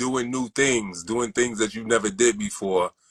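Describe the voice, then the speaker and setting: A man speaks with a bright, sharp tone in a New York accent. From Brooklyn, New York (Crown Heights). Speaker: sneaker collector. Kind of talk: interview. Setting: livestream.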